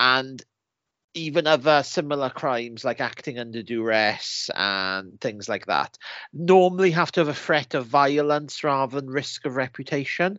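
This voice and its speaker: Ordinary pitch variation and a moderate pace mark this normal speaking voice. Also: man, fairly high pitch for a man. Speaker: podcast co-host. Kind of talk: casual chat.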